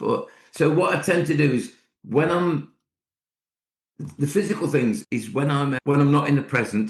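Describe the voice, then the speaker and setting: The voice is somewhat breathy with lively intonation and long, frequent pauses. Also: man, fairly high pitch for a man. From Scotland, Ayrshire. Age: 60s. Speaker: poet and school speaker. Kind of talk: podcast interview. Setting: at home, remote call. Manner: fast.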